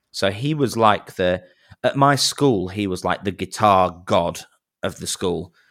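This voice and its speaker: A man's fairly low voice in a Manchester accent, fairly slow pace, ordinary pitch variation, very clean recording with a silent background. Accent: Manchester-area English. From northern England, near Manchester. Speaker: wedding singer and YouTuber. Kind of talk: casual interview chat.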